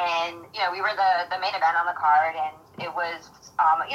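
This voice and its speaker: A fairly low-pitched woman's voice with fairly even intonation and a New York accent. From Queens, New York. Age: 30s. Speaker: mixed martial arts fighter. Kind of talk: interview.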